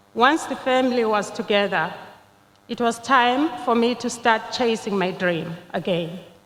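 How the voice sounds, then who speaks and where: A woman talks at a fairly slow pace in a fairly high voice with ordinary pitch variation. Noticeable background noise can be heard. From Zimbabwe. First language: not English, a Zimbabwean language. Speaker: nursing graduate, commencement speaker. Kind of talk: commencement speech. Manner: formal.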